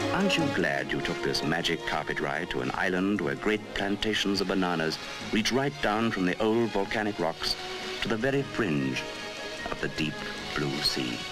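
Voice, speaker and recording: A man speaks at a moderate pace in a very deep, low voice with very wide pitch swings and very even loudness, with music in the background. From British. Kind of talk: documentary narration. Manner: patronizing.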